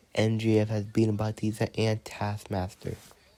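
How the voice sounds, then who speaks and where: Speaking at a very slow pace, the man has a fairly low voice. His tone is dark and mellow. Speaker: toy wrestling commentator. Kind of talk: live commentary. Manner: speaking low.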